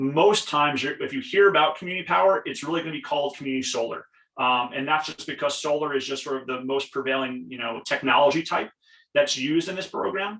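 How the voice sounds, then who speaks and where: Speaking at a very fast pace, a man with a Long Island accent has a fairly high pitch. His tone is bright and sharp, with ordinary pitch variation. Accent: Long Island New York. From Long Island, New York. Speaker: program representative. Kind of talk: webinar presentation. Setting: video call from home basement.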